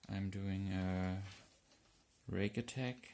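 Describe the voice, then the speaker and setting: Everything is delivered at a very slow pace. A German accent comes through. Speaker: hobby lockpicker. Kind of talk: casual tutorial talk to camera.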